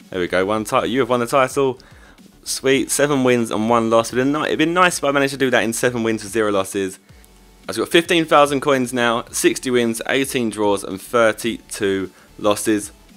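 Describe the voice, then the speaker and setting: With music in the background, a man talks at a fairly quick pace and a medium pitch, with ordinary pitch variation. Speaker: gaming youtuber. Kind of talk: gameplay commentary. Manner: animated.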